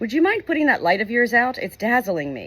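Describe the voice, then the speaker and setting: A hoarse, put-on character voice sits at a fairly high pitch with very wide pitch swings. It moves at a fairly quick pace. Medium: read story.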